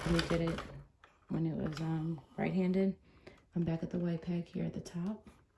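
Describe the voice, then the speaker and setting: A woman speaks at a moderate pace in a fairly low pitch. Her intonation is monotone and flat, and there is noticeable background noise. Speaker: crafting tutorial host. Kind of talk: tutorial. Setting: livestream video. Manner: softer than usual, early morning; normally loud.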